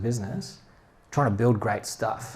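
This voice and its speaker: With an Australian accent, a man speaks at a moderate pace in a medium pitch, his pitch varying in an ordinary way. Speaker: head of product, speaker. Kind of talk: talk at meetup.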